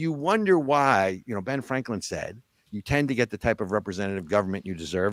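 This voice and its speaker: In a New Jersey accent, a man speaks at a fairly quick pace with lively intonation, in a very clean recording with a silent background and a dry, close sound with no echo. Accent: New Jersey American. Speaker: political talk show host. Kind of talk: political commentary chat. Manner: animated.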